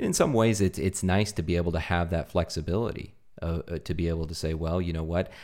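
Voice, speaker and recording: A man speaks fairly quickly at a very deep, low pitch with fairly even intonation. The recording is very clean, with a silent background. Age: 30s. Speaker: podcast host. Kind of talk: interview podcast.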